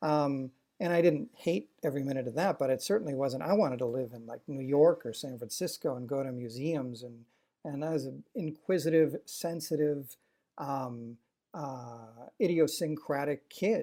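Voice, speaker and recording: In a very clean recording with a silent background, a man with an American accent speaks at a moderate pace and a fairly high pitch with a dark, mellow tone, ordinary pitch variation and big swings in loudness. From Wisconsin, Waukesha. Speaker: food historian and former TV food show host. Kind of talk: interview conversation.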